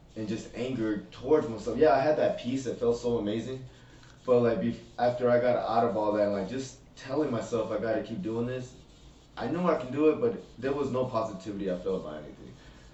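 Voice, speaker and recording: A man talks very fast in a room with audible echo, and noticeable background noise is also present. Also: medium pitch for a man, ordinary pitch variation. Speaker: recovering addict guest. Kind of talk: testimony. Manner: loud.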